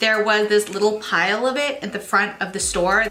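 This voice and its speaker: Noticeable background noise sits behind a woman's voice. She talks at a moderate pace with a fairly high pitch. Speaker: beauty vlogger. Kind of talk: makeup tutorial.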